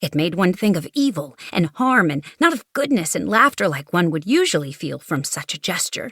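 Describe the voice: This clip consists of plain reading aloud.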